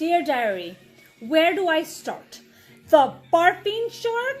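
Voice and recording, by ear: A woman's put-on character voice, extremely high with big pitch swings and a slow pace, over faint music in the background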